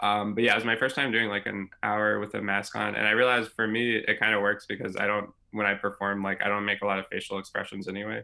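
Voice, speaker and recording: With an American accent, this speaker talks at a fairly quick pace in a bright, sharp tone and fairly even intonation. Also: man. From Louisville, Kentucky, US. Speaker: stand-up comedian. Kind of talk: casual interview chat. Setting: video call.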